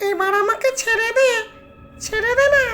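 In a put-on character voice, the speaker goes extremely high in pitch and sounds shrill. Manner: pleading.

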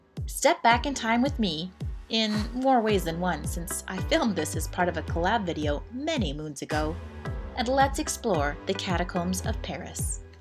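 Music can be heard behind this woman. She keeps her speech at a moderate pace. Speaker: travel vlogger. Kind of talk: travel documentary narration.

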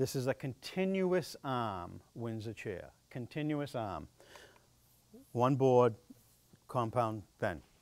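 At a fairly slow pace, a man speaks with a quiet background behind him. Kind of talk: informal lecture. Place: hall.

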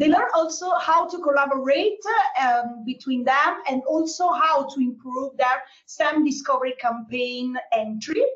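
A woman speaks at a high pitch with ordinary pitch variation. Her tone is fairly bright. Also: moderate pace.

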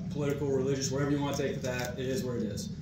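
Audible room echo mixes with loud background noise. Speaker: army commander. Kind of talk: class discussion. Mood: earnest, candid. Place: meeting room. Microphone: camera far.

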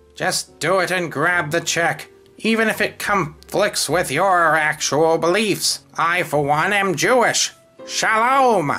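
Faint music plays in the background behind a put-on character voice at a middle pitch. The delivery comes at a fairly slow pace. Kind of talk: comic villain monologue. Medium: comedy sketch. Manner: grudging and bitter about niceness; pompous, sneering, theatrical.

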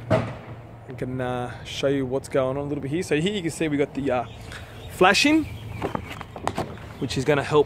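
With noticeable background noise but a dry sound with no echo, a man talks at a moderate pace. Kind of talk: casual vlog chat. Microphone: phone near.

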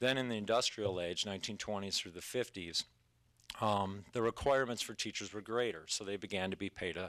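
A man with an American accent speaks at a moderate pace in a fairly low pitch, with a bright, sharp tone and fairly even intonation. The sound is dry with no echo, and the background is quiet. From US Midwest. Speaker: middle school teacher. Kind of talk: public comment speech. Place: meeting room. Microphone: podium.

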